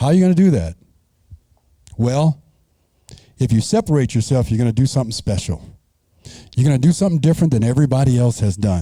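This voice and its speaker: An American-accented man speaks very fast in a dark, mellow, somewhat breathy tone, keeping his loudness very even while his pitch swings very widely, and he takes long, frequent pauses. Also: medium pitch for a man. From Arizona. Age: 60s. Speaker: banquet keynote speaker. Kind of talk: motivational speech.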